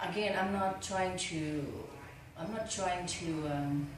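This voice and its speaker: Very slowly, a woman speaks with fairly even intonation and long, frequent pauses. Noticeable background noise and audible room echo surround her voice. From Vietnam (Ha Long Bay). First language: Vietnamese. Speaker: film producer. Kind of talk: interview. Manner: halting.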